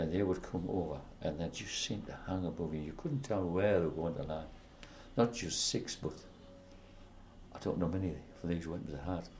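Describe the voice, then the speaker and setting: Here a man talks at a moderate pace. His pitch is very deep and low, with ordinary pitch variation. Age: 80s+. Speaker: war veteran. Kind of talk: interview answer.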